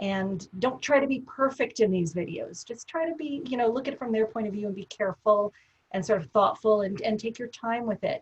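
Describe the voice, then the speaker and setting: At a fairly quick pace, a woman with fairly high pitch speaks somewhat breathily, her intonation lively. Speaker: professor. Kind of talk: webinar discussion. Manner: fast.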